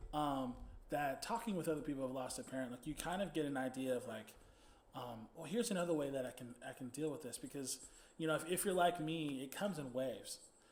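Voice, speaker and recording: Talking at a very fast pace in an American accent, a man has a fairly high pitch with ordinary pitch variation. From Texas, Dallas. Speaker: podcast host and band musician. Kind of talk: interview. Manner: halting.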